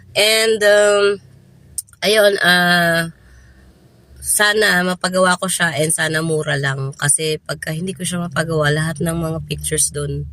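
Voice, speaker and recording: This woman's voice sits fairly low for a woman, with a bright, sharp tone and a fairly slow pace. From Philippines. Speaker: vlogger. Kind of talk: casual vlog talk. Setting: in a car in a parking lot.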